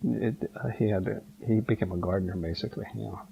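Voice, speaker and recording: Someone talks at a fairly quick pace with an American accent and ordinary pitch variation. Noticeable background noise runs through the clip. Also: man. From California, USA. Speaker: Japanese American former internment camp incarceree. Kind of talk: oral history interview answer. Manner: hesitant, with many fillers.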